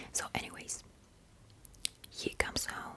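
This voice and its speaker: A woman whispers over noticeable background noise. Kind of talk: ASMR movie recap storytelling. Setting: home ASMR microphone recording. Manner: whispered, soft-spoken.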